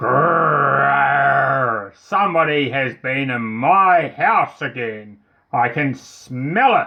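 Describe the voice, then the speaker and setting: Putting on a growling character voice, a man speaks at a very slow pace with medium pitch and lively intonation. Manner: growling, suspicious.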